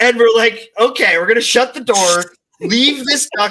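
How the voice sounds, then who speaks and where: A man with a Canadian accent speaks in a raised, projected voice that sits high in pitch. His tone is animated, bright and sharp, with ordinary pitch variation. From Canada, near Toronto. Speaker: content creator. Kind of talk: casual chat.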